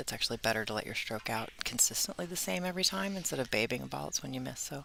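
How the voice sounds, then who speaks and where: Amid noticeable background noise, a woman with a very deep, low pitch talks at a very fast pace with very wide pitch swings. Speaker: pool player and commentator. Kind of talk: live commentary.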